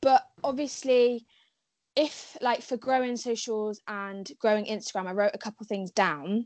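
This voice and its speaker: In a southern English accent, a woman speaks at a fairly high pitch with lively intonation. Her pace is fairly slow. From southwest England, Cheltenham. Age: young. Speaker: content creator. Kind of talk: casual chat.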